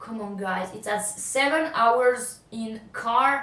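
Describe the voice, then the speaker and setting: With noticeable background noise, a woman with a French accent speaks at a very slow pace and a fairly high pitch with ordinary pitch variation. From France. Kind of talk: casual talk to camera.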